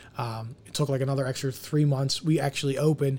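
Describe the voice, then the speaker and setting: Over a silent background on a very clean recording, a man talks at a very fast pace in a somewhat breathy voice. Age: 30s. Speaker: restaurant owner. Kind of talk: casual chat.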